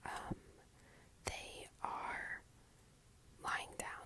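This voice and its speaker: A woman's whisper over noticeable background noise. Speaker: craft youtuber. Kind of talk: casual art tutorial voiceover. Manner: casual, hesitant with fillers; whispering.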